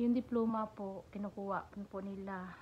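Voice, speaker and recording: A soft-spoken woman at a medium pitch, somewhat breathy, with a dark, mellow tone, flat monotone delivery and a fairly slow pace. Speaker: vlogger, domestic helper. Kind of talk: tutorial-style vlog. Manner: soft-spoken, speaking quietly.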